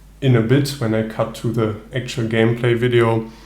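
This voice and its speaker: A man with a German accent speaks fairly slowly in a flat, monotone way at a medium pitch, with audible room echo and noticeable background noise. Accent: German accent (self-noted non-native English). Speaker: solo tabletop gamer, video creator. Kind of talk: casual video intro, gameplay commentary. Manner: hesitant, many fillers.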